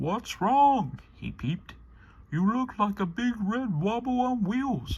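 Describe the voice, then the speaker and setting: A man's high-pitched, put-on character voice at a fairly slow pace. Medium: read story.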